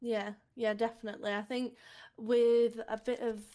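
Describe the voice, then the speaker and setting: With a British accent, a woman speaks at a moderate pace in a fairly high pitch and a dark, mellow tone. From UK. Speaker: gaming podcast co-host. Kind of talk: casual chat.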